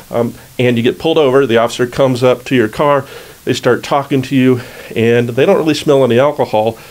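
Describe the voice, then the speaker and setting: A man mumbles at a fairly quick pace. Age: old. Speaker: criminal defense attorney. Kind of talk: legal explainer video. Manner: mumbles a fair amount; casual, conversational.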